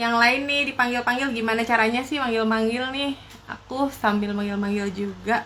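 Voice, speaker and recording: A woman speaks in a plain, everyday voice at a fairly high pitch. Her pace is fairly quick and her intonation fairly even. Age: young. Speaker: live stream host, entrepreneur. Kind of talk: casual live stream chat.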